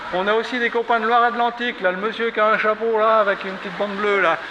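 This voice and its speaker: Through noticeable background noise, a man projects a raised, high-pitched voice in a monotone, flat intonation. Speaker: walk leader and traditional singing organizer. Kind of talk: outdoor group briefing. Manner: casual, conversational; not very loud.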